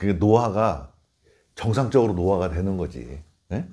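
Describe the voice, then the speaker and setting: A man speaks with a dark, mellow tone. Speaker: Buddhist monk teaching meditation. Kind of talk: informal dharma talk. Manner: conversational, explanatory.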